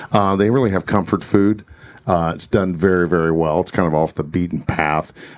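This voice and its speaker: With an American accent, a man talks at a fairly quick pace. His pitch is very deep and low, with ordinary variation. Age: 50s. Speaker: police officer and podcast co-host. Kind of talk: casual chat.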